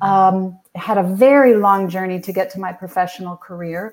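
A woman with an American accent has an unremarkable speaking voice at a medium pitch. Her pace is moderate and her intonation fairly even. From US Northeast, New England. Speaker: singer and voice teacher. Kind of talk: interview.

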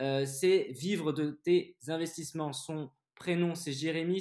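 A man with a high pitch and ordinary pitch variation at a very slow pace, in a very clean recording with a silent background. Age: 30s. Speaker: podcast host and investor. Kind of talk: interview. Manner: animated.

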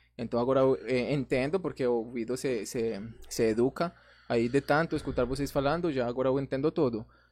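A man with a Spanish accent speaks at a medium pitch and a fairly quick pace. His intonation is fairly even, and the background is quiet. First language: Spanish (speaking Portuguese). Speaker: influencer. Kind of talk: casual chat.

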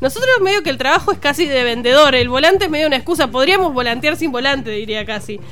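Over noticeable background noise, a woman talks very fast with hardly any pauses. Her high-pitched voice has lively intonation. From Argentina, Ceres, Santa Fe province. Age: 30s. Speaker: comedian. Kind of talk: casual chat. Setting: radio studio.

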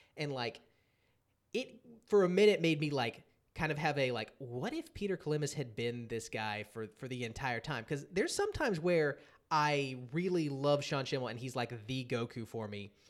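On a very clean recording with a silent background, a man with a fairly high pitch uses a normal speaking voice at a moderate pace with lively intonation. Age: 30s. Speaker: podcast host. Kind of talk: casual chat.

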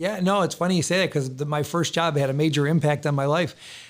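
A man with an unremarkable speaking voice talks at a fairly quick pace. His intonation is fairly even. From Rochester, New York. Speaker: financial advisory CEO. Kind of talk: interview.

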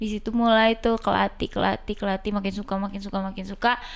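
The speaker moves at a fairly quick pace in a monotone, flat delivery. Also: woman, very clean recording, silent background. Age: 20s. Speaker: basketball club administrator and player. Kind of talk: casual chat.

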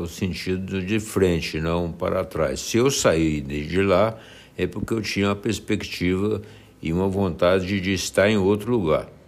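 A man's very deep, low voice at a fairly slow pace, with fairly even intonation. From Minas Gerais, Brazil (Nova Ponte, Uberaba). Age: 80s+. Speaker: retired police chief. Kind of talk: interview answers.

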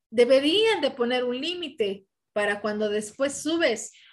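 A woman's high voice at a fairly slow pace, on a very clean recording with a silent background. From Mexico. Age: 30s. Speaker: professional boxer. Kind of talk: interview.

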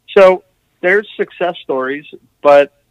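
Speaking at a fairly slow pace, a man with an American accent comes through in a dry, close sound with no echo. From New Jersey suburbs, US. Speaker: author and punk band lyricist. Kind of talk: casual interview. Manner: halting, many fillers and repeats.

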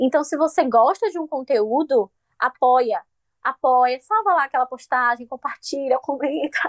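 Lively intonation in a Bahian accent at a fairly slow pace, with a dry, close sound and no echo. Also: woman, high pitch for a woman. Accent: Bahian Brazilian Portuguese. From Bahia, Brazil. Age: 20s. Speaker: journalist and content creator. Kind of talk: casual chat.

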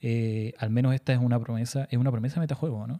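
This man has a dark, mellow tone and fairly even intonation. He talks at a fairly quick pace, and the sound is dry and close with no echo. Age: 30s. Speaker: podcast host. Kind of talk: casual chat. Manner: halting.

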